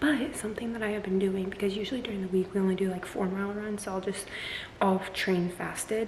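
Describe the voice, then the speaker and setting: Over noticeable background noise and audible room echo, a woman speaks very fast at a medium pitch with fairly even intonation. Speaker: fitness vlogger. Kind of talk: casual vlog. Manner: chatty, filler-heavy.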